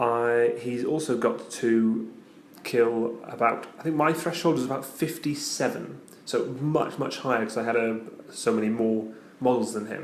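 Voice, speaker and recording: A man with a medium-pitched voice speaks while noticeable noise fills the background. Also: ordinary pitch variation, moderate pace. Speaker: tabletop wargaming battle report presenter. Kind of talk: casual battle report narration. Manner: quiet, subdued.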